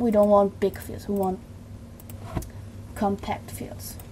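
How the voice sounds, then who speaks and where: A woman with a German accent at a fairly slow pace, medium in pitch. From Germany. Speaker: video tutorial creator. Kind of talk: tutorial. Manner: halting.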